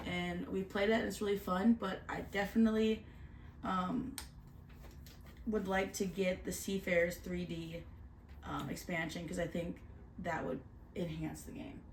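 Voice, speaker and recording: At a moderate pace, a woman speaks at medium pitch with ordinary pitch variation and long, frequent pauses. Audible room echo surrounds her voice. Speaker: board game reviewer. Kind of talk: casual chat.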